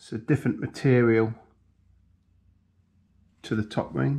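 Ordinary pitch variation marks the man's speech, delivered at a moderate pace. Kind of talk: tutorial. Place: workshop. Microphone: camera far.

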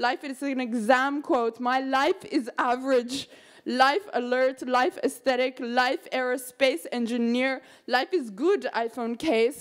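A woman's high-pitched voice at a fairly slow pace against a quiet background. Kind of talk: poetry reading. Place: hall.

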